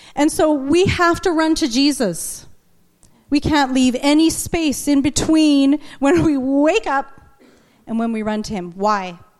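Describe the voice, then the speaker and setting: This woman's voice sits high in pitch and moves with lively intonation. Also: fairly slow pace. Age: 40s. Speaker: preacher and trauma therapist. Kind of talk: sermon.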